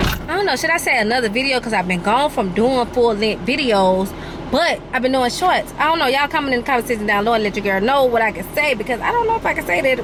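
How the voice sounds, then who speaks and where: Lively intonation drives a very fast delivery with hardly any pauses, heard over noticeable background noise. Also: woman, high pitch for a woman. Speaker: vlogger. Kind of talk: casual vlog talk. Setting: in a car. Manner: stuttering; animated.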